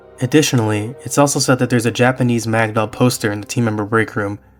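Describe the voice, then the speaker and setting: With music in the background, a man talks at a very fast pace. His pitch is medium. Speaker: theme park YouTuber. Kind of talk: casual video narration.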